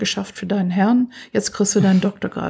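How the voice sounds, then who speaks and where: Somewhat breathy, a woman speaks at a medium pitch and a fairly quick pace in a dark, mellow tone. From US, Pennsylvania. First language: English (speaking German). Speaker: computer science professor. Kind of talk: interview.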